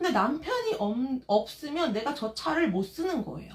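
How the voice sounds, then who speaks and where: This voice has an animated tone, swinging very widely in pitch while moving at a fairly slow pace. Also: woman. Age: 40s. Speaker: live-stream vlogger, mother. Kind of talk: live stream casual chat.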